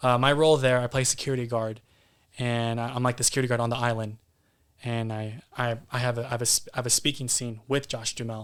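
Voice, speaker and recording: Speaking with a Californian accent, a man goes at a very fast pace. His pitch is medium. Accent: Californian American English. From San Jose, California (Bay Area). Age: 20s. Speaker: actor. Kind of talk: casual chat. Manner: halting, repeats words; animated.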